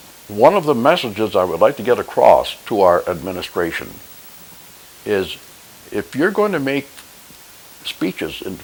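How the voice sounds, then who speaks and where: A man with an American accent talks at medium pitch and a moderate pace, his pitch swinging very widely. Noticeable background noise runs underneath. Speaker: war veteran. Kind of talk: monologue commentary. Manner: halting.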